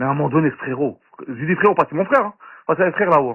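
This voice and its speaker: The voice moves at a fairly quick pace, its pitch swinging very widely. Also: man. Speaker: participant in online audio chat room. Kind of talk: heated argument. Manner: fast, swallows syllables; agitated.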